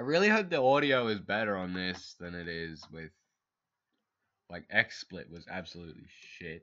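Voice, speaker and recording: A man with a very deep, low pitch and a bright, sharp tone speaks at a moderate pace with lively intonation. His loudness swings widely, and he takes long, frequent pauses. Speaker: gaming video creator. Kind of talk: casual gameplay commentary. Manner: halting, self-correcting.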